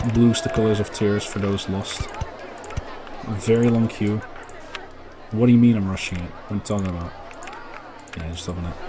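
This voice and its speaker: With audible room echo and music in the background, a man with a fairly low voice speaks at a fairly quick pace, with fairly even intonation and long, frequent pauses. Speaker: gaming YouTuber. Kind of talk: casual gameplay commentary.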